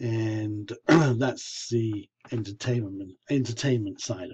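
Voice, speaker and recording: This man's voice is dark, mellow, somewhat breathy and medium in pitch. He talks very slowly with fairly even intonation. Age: 60s. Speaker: vlogger with leukemia. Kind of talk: personal video diary.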